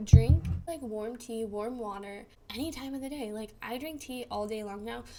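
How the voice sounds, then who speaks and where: Dark, mellow tone from a woman whose pitch sits fairly high. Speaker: vlogger with Crohn's disease. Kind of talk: casual vlog tips. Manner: fast; casual, filler-heavy.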